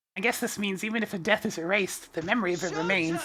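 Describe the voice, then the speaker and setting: A woman talks at a very fast pace in a put-on character voice, her pitch sitting in the middle of the female range. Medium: game stream. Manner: earnest, energetic.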